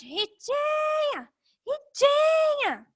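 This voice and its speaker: A loud, squeaky put-on character voice at an extremely high pitch. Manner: calling out loudly, raised voice.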